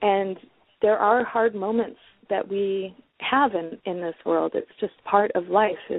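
In a plain, everyday voice, a woman speaks with fairly even intonation. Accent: American. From Detroit, US Midwest. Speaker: communication coach. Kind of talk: interview.

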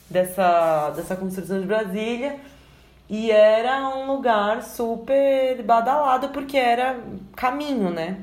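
With audible room echo, a woman with fairly high pitch and lively intonation speaks at a very slow pace. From Brazil, São Paulo. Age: 20s. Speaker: journalist and video editor. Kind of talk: casual interview chat.

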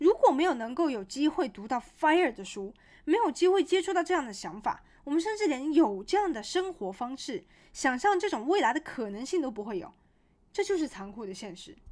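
Speaking at a fairly quick pace in a high voice, a woman sounds animated, with very wide pitch swings and big swings in loudness on a very clean recording with a silent background. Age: 20s. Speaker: podcast host reviewing books. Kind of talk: solo book-summary podcast monologue.

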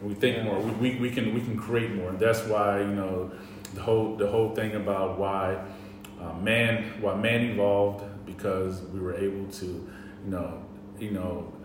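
A man with an American accent, fairly low in pitch and monotone in flat intonation at a moderate pace, amid noticeable background noise and audible room echo. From US South, North Carolina. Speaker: podcast co-host. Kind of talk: casual chat. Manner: halting.

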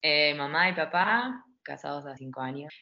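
Very deep and low in pitch, a woman speaks at a fairly slow pace. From Argentina, Buenos Aires south zone (Adrogué). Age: 30s. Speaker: English teacher. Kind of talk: interview.

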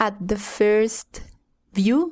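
Against a quiet background, a woman with a Spanish accent talks at a fairly high pitch with lively intonation. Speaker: English learner. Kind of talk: language lesson role-play.

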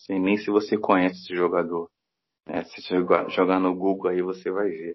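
This man talks at a moderate pace with a very deep, low pitch and a flat, monotone intonation. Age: 40s. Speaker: football fan commentator. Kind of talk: casual chat.

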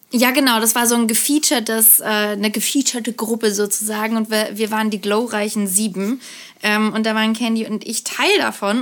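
Using a normal speaking voice, a woman talks at a fairly quick pace with fairly even intonation. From Karlsruhe, southwest Germany. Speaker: podcast co-host. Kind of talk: casual chat.

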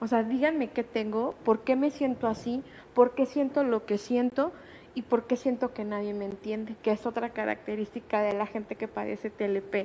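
At a moderate pace and a fairly high pitch, a woman with an unremarkable speaking voice talks with fairly even intonation on a very clean recording with a silent background. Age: 30s. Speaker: patient sharing testimony, digital marketer. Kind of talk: personal testimony in radio interview. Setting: radio studio.

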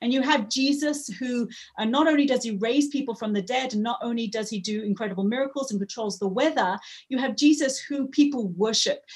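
A fairly quick pace and ordinary pitch variation. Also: woman, high pitch for a woman. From Africa, moved to England at 13. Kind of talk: interview. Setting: video call.

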